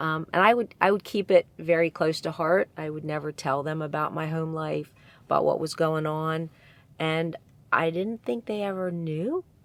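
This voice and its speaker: Here is an ordinary speaking voice with an American accent at a moderate pace. Its pitch varies in an ordinary way on a very clean recording with a silent background. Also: woman, fairly low pitch for a woman. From Pennsylvania, USA. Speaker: storyteller. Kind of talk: interview answer.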